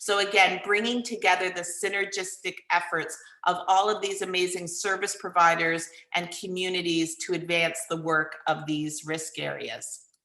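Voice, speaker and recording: In a room with audible echo, a woman with a bright, sharp tone speaks at a medium pitch and a moderate pace with fairly even intonation. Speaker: consultant presenting plan to council. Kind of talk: presentation to city council. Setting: electronic meeting, live streamed.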